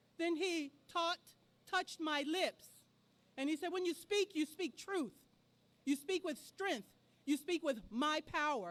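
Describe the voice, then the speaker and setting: A woman with an extremely high pitch speaks loudly at a fairly slow pace, leaving long, frequent pauses, her pitch varying in an ordinary way. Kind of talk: storytelling speech at a rally. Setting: outdoor rally in a park.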